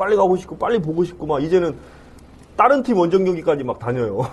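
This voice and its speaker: This man's voice sits high in pitch. It swings very widely up and down. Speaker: football club CEO. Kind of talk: interview. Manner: formal.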